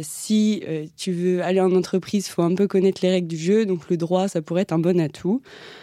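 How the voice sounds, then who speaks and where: With hardly any pauses, a woman speaks at a medium pitch with fairly even intonation and a dark, mellow tone. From France, Vendée. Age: 20s. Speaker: law student. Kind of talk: interview. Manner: hesitant, many fillers.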